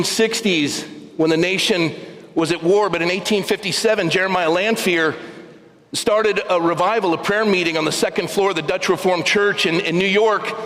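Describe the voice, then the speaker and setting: Against noticeable background noise and audible room echo, the voice moves at a moderate pace with fairly even intonation and very even loudness. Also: man. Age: 60s. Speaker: pastor. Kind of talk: sermon. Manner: repetitive halting stammer.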